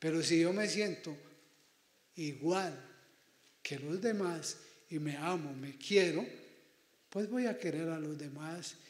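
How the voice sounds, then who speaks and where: Very slow speech with audible room echo. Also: man. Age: 60s. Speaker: priest. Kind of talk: pastoral talk to students. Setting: auditorium with student audience. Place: hall.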